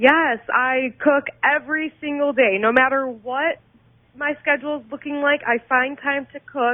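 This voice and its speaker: A woman with a Midwestern American accent speaks at a high pitch and a fairly slow pace. Her intonation is fairly even, but her loudness swings widely. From Dearborn, Michigan, US. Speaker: amateur cooking show contestant. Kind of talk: radio interview.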